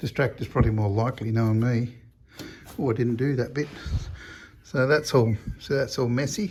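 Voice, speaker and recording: Mumbling at a fairly quick pace with long, frequent pauses, a man with an Australian accent sounds somewhat breathy and shows ordinary pitch variation. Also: medium pitch for a man. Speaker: car restoration hobbyist. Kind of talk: casual workshop vlog. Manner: halting.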